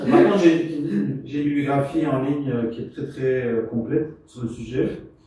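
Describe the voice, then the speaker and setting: A man's medium-pitched voice in a Belgian accent, fairly slow, with ordinary pitch variation and audible room echo. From Belgium. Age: 60s. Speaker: researcher and speaker on the commons. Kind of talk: lecture. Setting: venue with live audience. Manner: halting, many hesitations.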